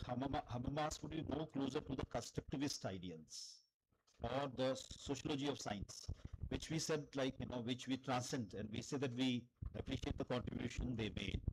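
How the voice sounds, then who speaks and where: A somewhat breathy voice with an Indian accent moves at a fairly quick pace. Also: man. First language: Hindi. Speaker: philosophy lecturer. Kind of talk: academic Q&A discussion.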